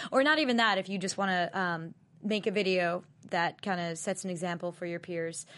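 A woman with an American accent has an unremarkable speaking voice at a medium pitch, with ordinary pitch variation. She keeps a moderate pace against a quiet background. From Long Island, New York. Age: young. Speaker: singer and anti-bullying advocate. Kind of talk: casual interview.

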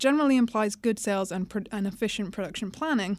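A fairly high woman's voice with a British accent, very fast, with ordinary pitch variation in a very clean recording and silent background. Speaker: investment analyst. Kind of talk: explanatory podcast discussion. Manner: hesitant, frequent uh fillers.

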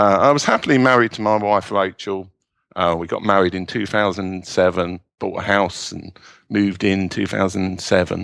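A man talks in a fairly low pitch. He speaks with a British accent. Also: moderate pace. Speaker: self-publishing entrepreneur and novelist. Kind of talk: interview.

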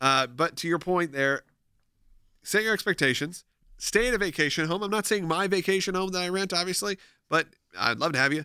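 High-pitched male voice with a bright, sharp tone, ordinary pitch variation, a fairly quick pace and long, frequent pauses, in a very clean recording with a silent background and a dry, close sound with no echo. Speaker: podcast host. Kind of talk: casual chat. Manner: animated.

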